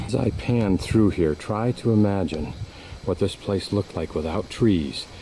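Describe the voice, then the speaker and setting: A man with a very deep, low pitch speaks at a moderate pace with ordinary pitch variation over noticeable background noise. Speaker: travel vlogger. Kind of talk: self-guided tour narration. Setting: outdoors.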